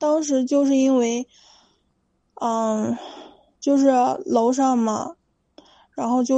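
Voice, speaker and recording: A woman with a high voice speaks at a fairly slow pace, her intonation fairly even and her speech broken by long, frequent pauses. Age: 20s. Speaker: caller. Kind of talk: call-in advice talk. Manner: halting.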